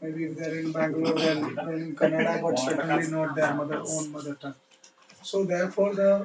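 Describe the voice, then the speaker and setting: A fairly quick voice in an Indian accent, with noticeable background noise. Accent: Indian English (Odia). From India, Odisha. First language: Odia. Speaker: education official. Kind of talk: lecture. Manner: halting.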